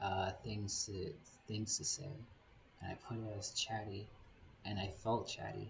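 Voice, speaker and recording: Through noticeable background noise, a man speaks fairly slowly at a fairly low pitch in a monotone, flat intonation. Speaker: VTuber streamer. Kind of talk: gaming livestream chat. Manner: halting, many repetitions and fillers. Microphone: poor quality equipment, audio issues.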